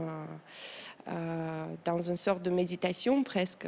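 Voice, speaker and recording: A woman speaks very slowly in a Moldovan accent, her tone dark and mellow, her pitch fairly low and her intonation fairly even. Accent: foreign accent, Moldovan. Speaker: tattoo artist and engraver. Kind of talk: TV interview. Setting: TV studio set. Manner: halting, many hesitations.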